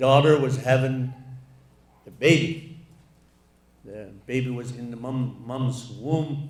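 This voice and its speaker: Very slow and somewhat breathy, the man speaks at medium pitch with fairly even intonation, big swings in loudness, and long, frequent pauses. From Alaska. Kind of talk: keynote speech. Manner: slow, reflective.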